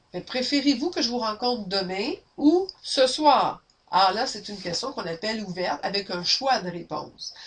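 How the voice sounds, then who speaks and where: A woman speaks at a moderate pace with a fairly high pitch. Her pitch swings very widely and her loudness shifts a lot. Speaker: sales trainer. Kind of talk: webinar training. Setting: webinar, camera. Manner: energetic.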